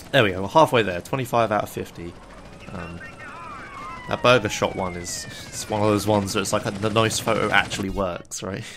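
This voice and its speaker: A man with a fairly low pitch talks at a fairly quick pace but with long, frequent pauses and big swings in loudness, over noticeable background noise. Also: ordinary pitch variation. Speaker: gaming commentator. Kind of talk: gameplay commentary. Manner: fast.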